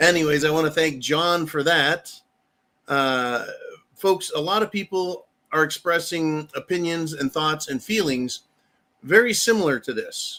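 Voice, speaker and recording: With an American accent, a man uses an ordinary speaking voice at a fairly high pitch and a fairly slow pace. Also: ordinary pitch variation. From United States. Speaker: political commentary channel host. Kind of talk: political commentary monologue.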